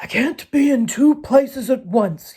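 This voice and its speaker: Using a put-on character voice, a woman growls in a raspy, high pitch at a moderate pace with lively intonation. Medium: read story. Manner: crafty, sly.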